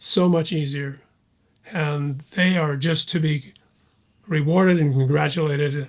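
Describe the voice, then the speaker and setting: A man speaks at a fairly high pitch and a very slow pace with fairly even intonation. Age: 80s+. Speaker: war veteran and author. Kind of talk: interview.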